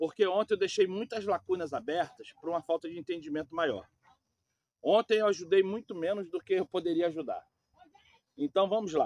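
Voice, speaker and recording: A man speaks at a moderate pace in a high pitch with ordinary pitch variation and long, frequent pauses. The sound is dry and close with no echo. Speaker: preacher. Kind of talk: sermon. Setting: outdoors. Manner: soft-spoken.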